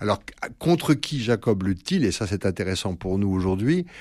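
On a very clean recording with a silent background, a man with a fairly low pitch talks at a moderate pace. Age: 60s. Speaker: priest and psychoanalyst. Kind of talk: radio interview. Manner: halting, many hesitations.

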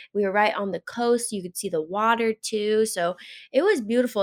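A woman uses a normal speaking voice with an American accent. Her intonation is fairly even. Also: dry, close sound with no echo. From Alaska. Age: 20s. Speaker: professional distance runner. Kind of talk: casual interview chat. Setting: remote call.

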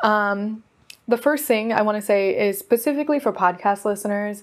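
Using an unremarkable speaking voice, a woman talks at a fairly quick pace in a fairly high pitch. Her pitch varies in an ordinary way, and the recording is very clean with a silent background. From US West Coast (Oregon). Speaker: podcast host, modern witch. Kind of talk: casual solo talk.

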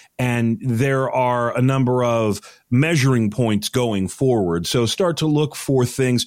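A man speaks in a plain, everyday voice at medium pitch with lively intonation. The recording is very clean, with a silent background. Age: 40s. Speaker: news correspondent. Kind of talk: casual news discussion.

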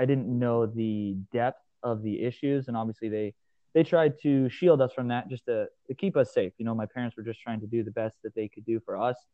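An ordinary speaking voice from a man, medium in pitch, at a fairly quick pace with ordinary pitch variation. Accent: American. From Nebraska, US Midwest. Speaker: gym owner and strength coach. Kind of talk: podcast interview.

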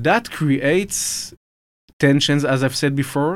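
A man with an Israeli accent at a fairly slow pace, the sound dry and close with no echo on a very clean recording with a silent background. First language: Hebrew. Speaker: military officer, think tank head. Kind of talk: interview, explanatory. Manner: measured, hesitant with fillers.

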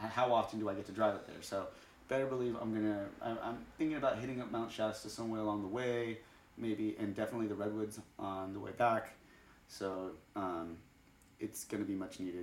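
A man's fairly low voice at a fairly quick pace, with audible room echo and noticeable background noise. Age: 30s. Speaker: podcast host. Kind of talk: casual chat. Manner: animated.

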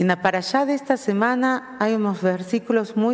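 A woman with a fairly high pitch speaks very slowly in an Argentine accent, with noticeable background noise behind her. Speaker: rabbi. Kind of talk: sermon. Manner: mixes Spanish with Portuguese.

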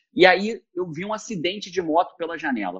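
A man's voice with a dry, close sound and no echo. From Rio de Janeiro, Brazil. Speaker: productivity expert. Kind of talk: casual interview chat.

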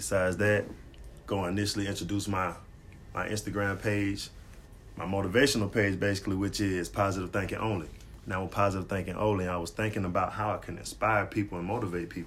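A man's fairly low, even voice with vocal fry at a very fast pace, with audible room echo. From Atlanta area, Georgia. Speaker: podcast co-host, motivational Instagram page runner. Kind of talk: casual chat.

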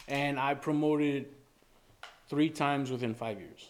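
A man with an American accent, medium pitch, and a monotone, flat intonation. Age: 30s. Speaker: podcast guest. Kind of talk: casual chat.

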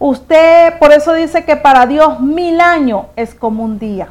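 Using lively intonation, a woman speaks at a fairly slow pace. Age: 50s. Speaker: pastor. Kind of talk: sermon.

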